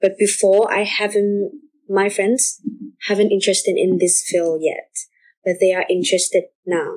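A woman's medium-pitched voice with a Vietnamese accent, at a moderate pace and with ordinary pitch variation. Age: young. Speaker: student podcast host. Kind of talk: casual interview.

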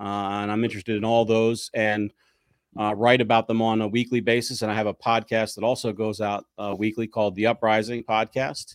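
A man with an American accent talks at a fairly quick pace in a monotone, flat voice of medium pitch. The recording is very clean with a silent background and a dry, close sound with no echo. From US Northeast, South Jersey near Philadelphia. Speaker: lawyer and political writer. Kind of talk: casual interview.

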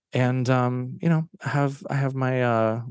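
A man with a plain, everyday voice, medium pitch and fairly even intonation, in a dry, close sound with no echo. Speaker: author and actor. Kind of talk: casual interview.

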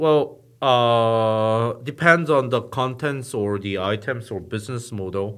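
Speaking at a very slow pace with hardly any pauses, a man in a Korean accent keeps a medium pitch and ordinary pitch variation against a quiet background. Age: 40s. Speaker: startup founder and media CEO. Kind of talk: interview. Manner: hesitant with fillers.

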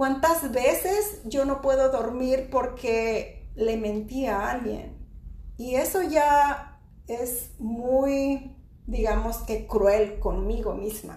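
A woman's high-pitched voice with a dark, mellow tone, lively intonation and a very slow pace. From Mexico. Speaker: podcast host, spiritual teacher. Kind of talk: casual chat on spirituality.

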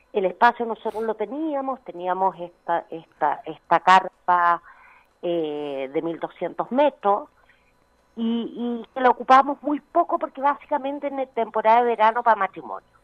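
Speaking at a fairly slow pace, a woman with a fairly high pitch uses very wide pitch swings. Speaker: winery tourism manager. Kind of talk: phone interview.

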